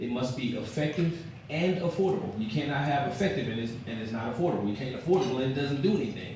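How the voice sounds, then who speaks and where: Fairly high in pitch, a man talks at a very fast pace. Room echo is audible, and background noise is noticeable. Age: 50s. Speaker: mayoral candidate. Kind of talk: candidate forum speech.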